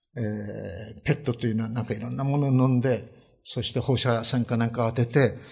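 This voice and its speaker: Against a quiet background, a man speaks at a fairly quick pace, somewhat breathy and with fairly even intonation. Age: 70s. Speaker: pastor. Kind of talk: sermon. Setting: church. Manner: many filler hesitations.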